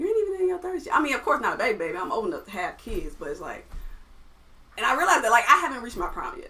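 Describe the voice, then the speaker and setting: A woman's raised, projected voice, high in pitch, at a very fast pace with very wide pitch swings over noticeable background noise. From US South, Atlanta, Georgia. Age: 20s. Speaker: musician and producer. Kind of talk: casual chat.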